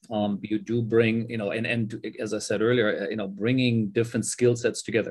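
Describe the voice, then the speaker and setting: A man talks at a moderate pace. His pitch is medium, and his intonation is monotone and flat. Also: hardly any pauses. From Germany. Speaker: serial entrepreneur. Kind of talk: casual interview conversation. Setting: video call.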